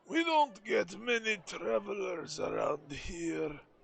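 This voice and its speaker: In a put-on character voice, a man sounds gruff and high-pitched, speaking fairly slowly. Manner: wary toward travelers.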